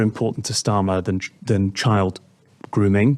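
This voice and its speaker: This man talks at a moderate pace. He has a British accent. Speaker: political commentator. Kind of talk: political discussion. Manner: halting, with many fillers.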